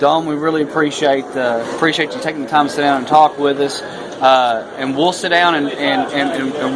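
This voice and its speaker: A man speaks at a fairly quick pace with monotone, flat intonation. Noticeable background noise runs behind him. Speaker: YouTube history show host. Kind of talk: casual talk to camera.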